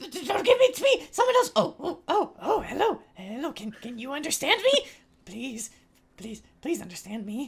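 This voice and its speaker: A high-pitched, put-on character voice. The pace is moderate. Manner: annoying.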